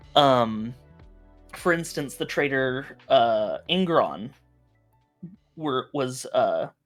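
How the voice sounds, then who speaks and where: A very slow delivery in an American accent, with music in the background. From Montana.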